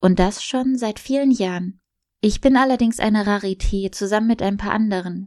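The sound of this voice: In a quiet background, an unforced reading voice moves with ordinary pitch variation.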